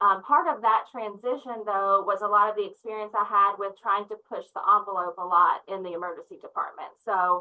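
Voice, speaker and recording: A woman with a Southern US accent talks at a fairly quick pace with hardly any pauses. Her loudness swings widely. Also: medium pitch for a woman, ordinary pitch variation. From US South, Memphis area. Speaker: nurse leader. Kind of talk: interview. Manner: energetic.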